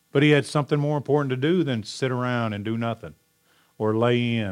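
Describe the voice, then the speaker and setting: A loud man's voice at a medium pitch, fairly quick in pace, with lively intonation. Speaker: pastor. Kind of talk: sermon. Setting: church. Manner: animated.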